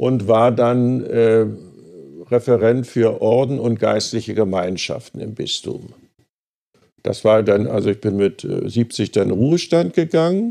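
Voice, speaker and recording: A man talks at a very slow pace in a dark, mellow tone at a medium pitch. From Berlin. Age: 80s. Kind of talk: interview. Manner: halting.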